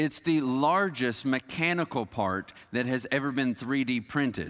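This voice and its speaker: Recorded very cleanly over a silent background, a man with a normal speaking voice talks in an American accent. His pitch is medium, with ordinary variation. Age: 40s. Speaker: pastor. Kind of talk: sermon.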